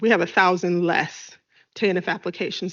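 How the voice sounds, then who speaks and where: A woman speaks at medium pitch with monotone, flat intonation. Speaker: social services official presenting to council. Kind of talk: committee presentation. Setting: council chamber. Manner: fast.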